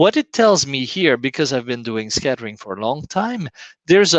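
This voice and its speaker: A man with a French accent and lively intonation, in dry, close sound with no echo. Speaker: scientist. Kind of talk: lecture.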